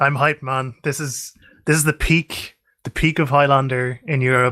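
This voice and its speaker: In an Irish accent, a man with a bright, sharp tone and medium pitch speaks at a moderate pace with fairly even intonation, in a very clean recording with a silent background and a dry, close sound with no echo. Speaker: esports caster. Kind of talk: live commentary.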